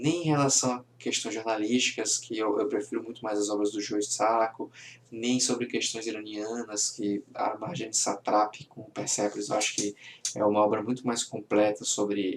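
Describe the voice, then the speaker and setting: Speaking at a moderate pace, the man has a fairly low voice and fairly even intonation. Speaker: comic book reviewer. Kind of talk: casual video review.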